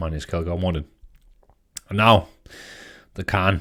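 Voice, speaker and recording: In a Danish accent, a man speaks at a very deep, low pitch. The recording is very clean with a silent background. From Denmark. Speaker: tabletop gaming YouTuber. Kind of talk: casual commentary. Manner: halting, many fillers and repeats.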